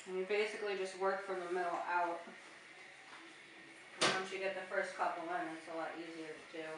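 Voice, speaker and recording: A woman at medium pitch, flat and monotone, fairly quick yet with long, frequent pauses, against noticeable background noise. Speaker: painter. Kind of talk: casual tutorial talk.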